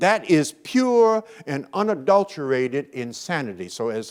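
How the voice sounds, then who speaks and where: A man with an American accent, his pitch swinging very widely, in a very clean recording over a silent background. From Brooklyn, New York, US. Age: 70s. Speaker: motivational speaker. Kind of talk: keynote speech. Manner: animated.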